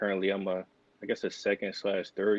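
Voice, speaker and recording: A man with a Philadelphia accent talks at a very fast pace. His pitch is fairly low. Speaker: physician assistant student, podcast co-host. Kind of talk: casual podcast chat.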